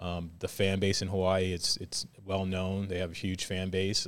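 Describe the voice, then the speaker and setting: On a very clean recording with a silent background, a man with an American accent speaks at a moderate pace in a very deep, low voice with monotone, flat intonation. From Virginia Beach, US. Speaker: volleyball coach. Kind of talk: casual interview.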